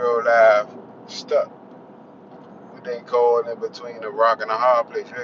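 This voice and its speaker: A man with an American accent speaks at medium pitch and a moderate pace, in a monotone, flat way with long, frequent pauses. His loudness swings widely amid noticeable background noise. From Washington DC. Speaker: vlogger. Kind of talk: casual vlog monologue. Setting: in a car. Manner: casual, halting with restarts.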